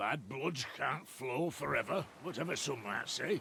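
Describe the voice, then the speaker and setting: The man adopts a put-on character voice and keeps his delivery at a moderate speed. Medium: video game. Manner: gruff, sardonic.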